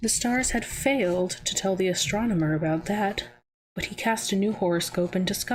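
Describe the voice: A quiet background behind plain reading aloud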